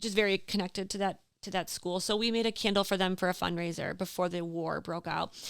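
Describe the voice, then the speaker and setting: A woman with an Upper Midwest accent speaks at a fairly quick pace on a very clean recording with a silent background. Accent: Upper Midwest American. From Door County, Wisconsin. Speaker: small business owner. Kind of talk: casual interview chat. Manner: animated.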